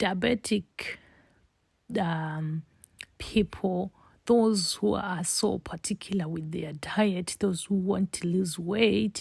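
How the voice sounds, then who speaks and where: A very slow delivery full of long, frequent pauses, on a very clean recording with a silent background. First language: Shona. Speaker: home cook, cooking channel host. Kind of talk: cooking tutorial.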